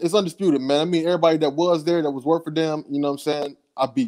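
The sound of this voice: A man talks at a fast pace. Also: slightly mellow tone.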